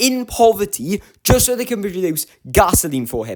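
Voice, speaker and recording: The speaker has a British accent and a moderate pace. Music plays in the background. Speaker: YouTuber ranking TV villains. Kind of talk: casual commentary video. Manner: casual, filler-heavy.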